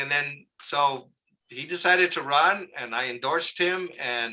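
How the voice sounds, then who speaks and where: Bright and sharp in tone, a man with an American accent speaks at a fairly high pitch. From Southern California (Oxnard area). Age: 60s. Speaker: local community activist. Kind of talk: interview. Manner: casual, conversational with fillers.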